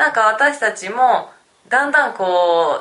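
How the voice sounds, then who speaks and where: A woman's pitch swings very widely. She talks at a fairly slow pace. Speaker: podcast co-host. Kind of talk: casual chat. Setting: on location in a city.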